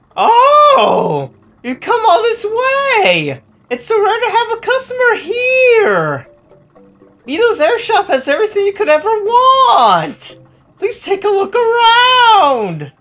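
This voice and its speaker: An extremely high, put-on character voice at a fairly slow pace, over faint background music. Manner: excited, welcoming, salesy.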